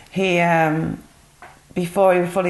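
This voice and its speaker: In a Yorkshire accent, a woman with a fairly low pitch speaks in a flat monotone. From northern England, Yorkshire (Burley-in-Wharfedale). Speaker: interviewee giving testimony. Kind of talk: interview testimony.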